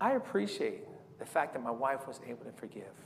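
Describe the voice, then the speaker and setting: At a moderate pace, a man speaks with fairly high pitch in a room with audible echo. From San Diego, California. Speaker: evangelist. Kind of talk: sermon.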